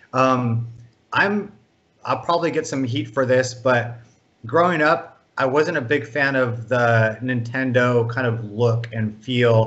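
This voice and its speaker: A man with an American accent talks at a very slow pace. His pitch variation is ordinary. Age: 50s. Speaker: video game producer; guest. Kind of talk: interview. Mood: relaxed, reminiscing. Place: home room. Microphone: video call.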